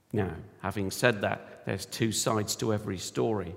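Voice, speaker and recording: A man talks with a fairly low pitch. Vocal fry runs through his voice. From United Kingdom. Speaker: church elder, lay preacher. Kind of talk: sermon.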